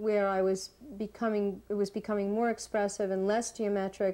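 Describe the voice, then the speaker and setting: Her intonation is monotone and flat. The woman talks at a fairly slow pace. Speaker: interviewee. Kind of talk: interview answer. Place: home room.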